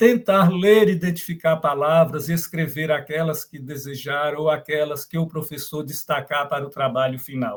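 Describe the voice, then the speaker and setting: A man speaks at a fairly high pitch, somewhat breathy. His loudness swings widely. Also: ordinary pitch variation, moderate pace. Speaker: professor. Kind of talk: lecture. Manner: halting.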